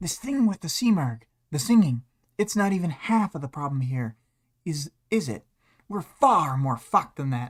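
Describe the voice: A put-on character voice at a middle pitch moves at a moderate pace with long, frequent pauses, in a very clean recording with a silent background and some hissing.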